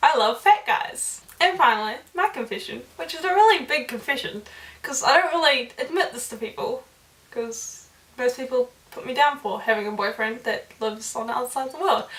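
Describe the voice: A woman talks at a fairly quick pace with a fairly high pitch and a fairly bright tone, and some room echo can be heard.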